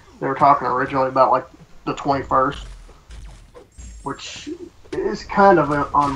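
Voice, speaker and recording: Over noticeable background noise, a man talks at a moderate pace with a Southern US accent. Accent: Southern US twang. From US South. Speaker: online gaming co-streamer. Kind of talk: casual chat. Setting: Skype call.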